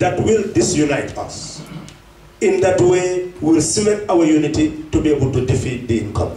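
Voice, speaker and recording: The speech moves at a moderate pace, with audible room echo and light background noise. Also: man. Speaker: politician addressing diaspora. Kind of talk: political speech. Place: hall.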